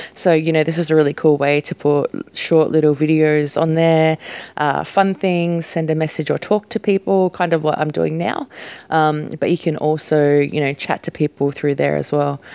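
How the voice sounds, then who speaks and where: In an Australian accent, a woman speaks at a very deep, low pitch. Her pace is moderate and her intonation fairly even. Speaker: podcast host, small business owner. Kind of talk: casual solo talk. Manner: casual, many fillers.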